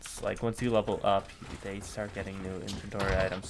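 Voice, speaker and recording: A man speaks over noticeable background noise. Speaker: gaming streamer. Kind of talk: casual live-stream commentary.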